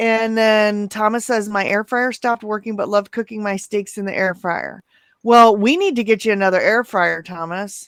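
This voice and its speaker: In an unremarkable speaking voice, a woman talks at a fairly high pitch and a moderate pace with fairly even intonation. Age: 40s. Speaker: keto coach and live-stream host. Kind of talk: casual chat. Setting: live stream video call.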